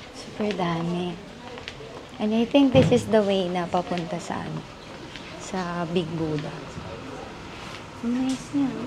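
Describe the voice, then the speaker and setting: A woman speaks quietly at a fairly slow pace, with lively intonation and long, frequent pauses. Audible room echo and noticeable background noise fill the recording. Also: fairly low pitch for a woman. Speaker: travel vlogger. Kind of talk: travel vlog narration. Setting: inside a temple. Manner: quiet, hushed.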